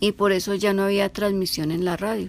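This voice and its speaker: Against a silent background on a very clean recording, a woman talks at a moderate pace and a medium pitch with fairly even intonation. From Colombia, Bogotá. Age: 60s. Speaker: eyewitness. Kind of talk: testimony.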